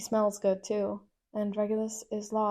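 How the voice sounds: In a quiet background, the passage is read in a natural reading voice.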